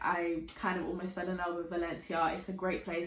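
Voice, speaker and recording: With a British accent, a woman talks at a fairly quick pace over noticeable background noise, with audible room echo. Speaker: youtuber and university student. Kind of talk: casual vlog talk. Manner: chatty, filler-heavy.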